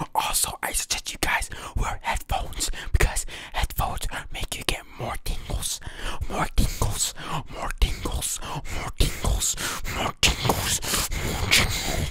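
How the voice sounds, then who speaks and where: A man is whispering. He speaks at a fairly slow pace. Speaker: ASMR hobby creator. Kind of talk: ASMR whisper video. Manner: whispered. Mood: playful, joking. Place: home room. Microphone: studio mic.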